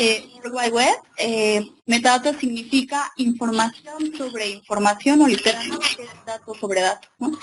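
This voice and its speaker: A woman speaks at a high pitch with ordinary pitch variation and a fairly slow pace. Noticeable background noise runs underneath. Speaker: librarian and webinar presenter. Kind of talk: lecture. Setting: webinar with live and remote audience.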